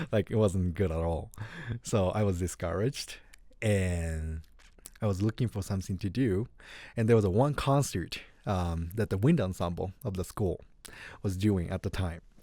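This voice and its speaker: A man with a Japanese accent speaks at a very deep, low pitch in a dark, mellow tone, with ordinary pitch variation. His pace is moderate with long, frequent pauses, on a very clean recording with a silent background. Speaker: saxophonist. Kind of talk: interview.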